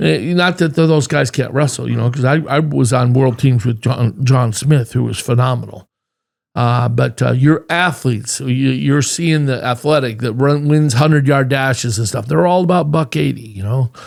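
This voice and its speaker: A man speaks in an ordinary speaking voice at a medium pitch. His pace is moderate, and his pitch variation is ordinary. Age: 60s. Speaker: former wrestler and wrestling coach. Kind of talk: interview.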